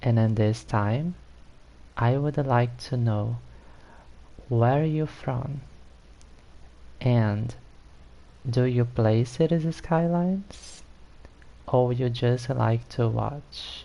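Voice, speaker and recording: Very slowly and with long, frequent pauses, a man with a Brazilian Portuguese accent speaks in a medium pitch and a dark, mellow tone, with ordinary pitch variation and very even loudness. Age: 30s. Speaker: gaming streamer. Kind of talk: live stream gameplay chat.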